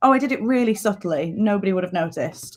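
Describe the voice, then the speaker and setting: Woman with a northern English accent, fairly quick pace and ordinary pitch variation. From northern England, Lancashire. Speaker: dialect coach. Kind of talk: interview. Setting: live stream.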